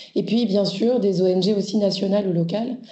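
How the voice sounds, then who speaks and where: A woman speaks at a medium pitch and a moderate pace with fairly even intonation, amid noticeable background noise and audible room echo. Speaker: NGO co-director. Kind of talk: webinar presentation. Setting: video call webinar.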